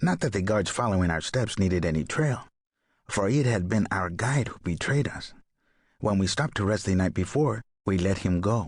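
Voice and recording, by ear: A man puts on a gruff character voice with a South American Spanish accent, speaking at a moderate pace in a fairly low pitch.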